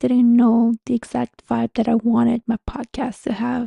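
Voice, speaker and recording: A woman with a Montreal accent speaks at a moderate pace in a fairly high voice, her tone dark and mellow, her intonation monotone and flat, in a dry, close sound with no echo. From Canada, Montreal. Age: 30s. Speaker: spiritual guide and podcast host. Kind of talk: casual podcast monologue. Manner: conversational, friendly.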